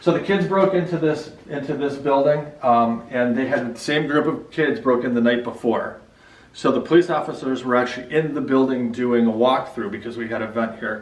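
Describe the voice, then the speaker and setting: Noticeable background noise and audible room echo surround a man speaking at a moderate pace. His voice is medium in pitch, with ordinary variation. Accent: Chicago. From Chicago. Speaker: hospital building owner giving a tour. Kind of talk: guided tour. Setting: indoors, old hospital building. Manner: casual, filler-heavy.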